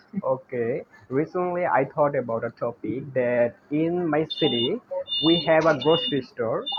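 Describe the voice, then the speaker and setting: Speaking at a fairly slow pace in a Bengali accent, the voice has lively intonation over noticeable background noise. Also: man. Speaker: English learner. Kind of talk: casual chat.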